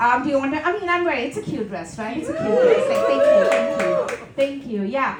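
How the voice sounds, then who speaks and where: A woman with a Tamil accent speaks at a high pitch amid noticeable background noise and audible room echo. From India. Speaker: stand-up comedian. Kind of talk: stand-up. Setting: stage with audience.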